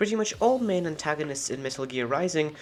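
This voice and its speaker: Music can be heard in the background. The delivery is fairly quick. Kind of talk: video essay narration.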